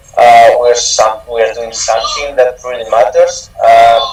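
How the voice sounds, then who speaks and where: Noticeable noise fills the background. Through it, a man talks at a moderate tempo. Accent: strong Spanish. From Spain, Albacete. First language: Spanish. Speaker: honor society chapter president. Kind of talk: panel discussion. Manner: halting.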